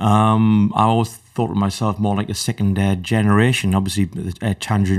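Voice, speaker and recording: A man in a northern English accent talks at a moderate pace with a fairly low pitch and monotone, flat intonation. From northern England. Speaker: electronic musician. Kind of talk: interview.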